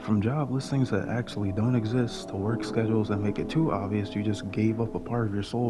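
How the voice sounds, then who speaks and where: Whispering and soft-spoken, a man goes at a fairly quick pace while music plays in the background. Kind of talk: casual rant to camera. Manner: soft-spoken, whispering.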